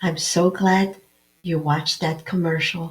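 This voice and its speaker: A somewhat breathy woman's voice with fairly low pitch and fairly even intonation. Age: 70s. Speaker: naturopathic doctor and health show host. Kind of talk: health talk show monologue. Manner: conversational with filler words.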